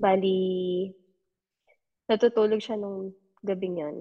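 A woman speaks at a very slow pace, her dark, mellow tone held in a monotone, flat intonation. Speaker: podcast listener sharing paranormal experiences. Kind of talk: casual storytelling. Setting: online call.

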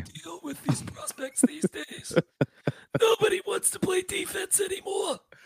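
Using a put-on character voice, a man talks at an extremely high pitch. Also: moderate pace. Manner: complaining.

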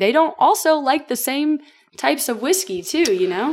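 A woman speaks with a Southern US accent and lively intonation. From Tennessee, Franklin. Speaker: distillery brand ambassador. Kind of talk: casual chat.

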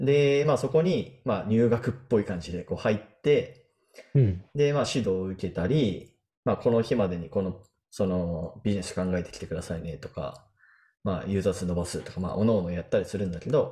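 A man with a fairly low pitch, dark, mellow tone and lively intonation at a fairly quick pace against a quiet background. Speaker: software engineer podcast co-host. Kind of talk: casual chat.

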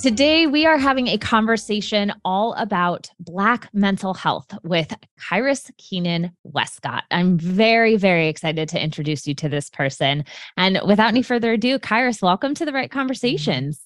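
A woman speaks at a medium pitch and a moderate pace, with a warm, enthusiastic tone and very wide pitch swings. The background is quiet. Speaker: podcast host and psychotherapist. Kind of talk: interview conversation.

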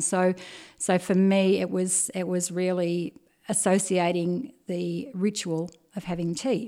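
In a very clean recording with a silent background, a woman with an Australian accent has a dark, mellow tone, a fairly low pitch and fairly even intonation. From Australia, Bendigo (Victoria). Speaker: tea business owner. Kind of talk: interview.

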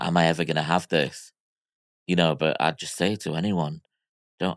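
In a very clean recording with a silent background and a dry, close sound with no echo, a man with an American accent and a very deep, low pitch talks at a moderate pace with long, frequent pauses. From Miami, US. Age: 40s. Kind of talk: casual chat.

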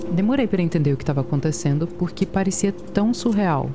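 This woman's voice is fairly low in pitch, moving at a moderate pace with lively intonation while noticeable background noise plays. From US, Virginia. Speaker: podcast reporter. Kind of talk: scripted narration.

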